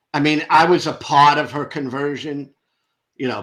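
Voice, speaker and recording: A man talks with a New York accent. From New York (Brooklyn). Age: 60s. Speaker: ex-religious content creator. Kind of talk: interview testimony.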